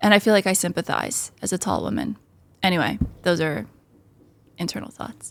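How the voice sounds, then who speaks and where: An American-accented woman with a medium pitch and vocal fry talks at a fairly quick pace with ordinary pitch variation and long, frequent pauses, on a very clean recording with a silent background. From United States. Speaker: amateur football podcast host. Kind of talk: casual chat. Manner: animated.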